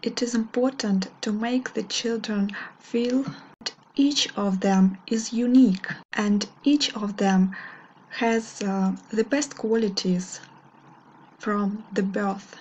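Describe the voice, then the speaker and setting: A woman with a Russian accent, fairly high-pitched and somewhat breathy, speaks at a very slow pace with fairly even intonation over light background noise. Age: 20s. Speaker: English teacher. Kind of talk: video monologue. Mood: warm, smiling. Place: home room. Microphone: webcam.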